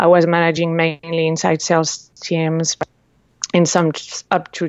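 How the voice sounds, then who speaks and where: A woman speaks at a fairly low pitch with a slight French accent. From France. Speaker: entrepreneur. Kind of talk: interview. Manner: halting, many fillers.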